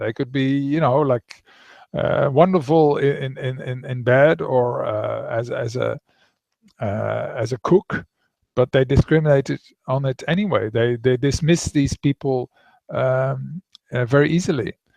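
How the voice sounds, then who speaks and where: A man with a Dutch accent, fairly high pitch, ordinary pitch variation and a fairly slow pace. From Netherlands. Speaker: author. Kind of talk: interview. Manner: halting.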